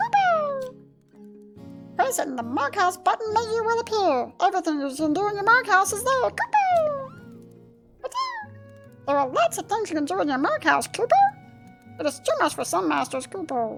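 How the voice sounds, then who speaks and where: A woman's put-on character voice at an extremely high pitch, with clear music in the background. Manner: cute, chirpy.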